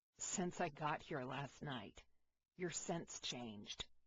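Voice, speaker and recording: A raspy put-on character voice from a man, fairly high-pitched, with lively intonation and a fairly slow pace. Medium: read story. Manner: warm, steady.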